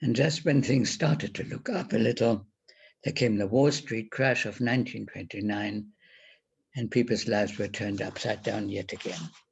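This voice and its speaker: A man with a German accent, medium pitch, vocal fry, ordinary pitch variation and a moderate pace. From Germany. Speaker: Holocaust survivor. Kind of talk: testimony presentation.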